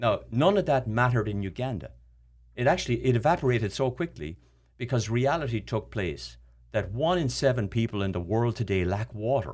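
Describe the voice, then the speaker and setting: In an Irish accent, this voice moves at a fairly quick pace with lively intonation and vocal fry, on a very clean recording with a silent background. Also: man, medium pitch for a man. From Ireland. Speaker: charity founder. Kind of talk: casual chat. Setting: studio.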